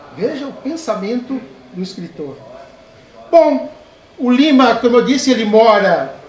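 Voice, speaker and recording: A man at an extremely high pitch with ordinary pitch variation and a fairly slow pace, with audible room echo and light background noise. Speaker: professor giving a lecture. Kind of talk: academic lecture. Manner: formal, eloquent. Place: hall. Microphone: handheld.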